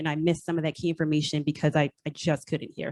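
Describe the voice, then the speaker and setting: The woman's voice has a dry, close sound with no echo. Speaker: parent speaking at public comment. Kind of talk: public comment. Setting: school auditorium meeting with microphone. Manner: soft-spoken; hesitant with fillers.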